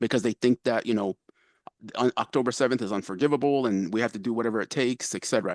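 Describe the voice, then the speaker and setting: A man at a very fast pace, with a dry, close sound with no echo and a quiet background. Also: medium pitch for a man, ordinary pitch variation. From Palestine, Jerusalem area. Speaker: participant in peace simulation. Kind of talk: panel discussion.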